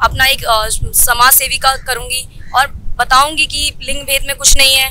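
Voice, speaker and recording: In a raised, projected voice, a woman speaks at a high pitch with fairly even intonation, the sound dry with no echo and light background noise behind her. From Delhi. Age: young. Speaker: community social worker. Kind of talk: interview. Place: street. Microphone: handheld.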